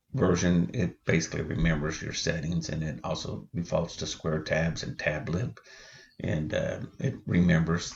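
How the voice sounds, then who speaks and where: A man speaks quietly with a very deep, low pitch. His voice has vocal fry and ordinary pitch variation. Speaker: woodworking hobbyist. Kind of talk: tutorial.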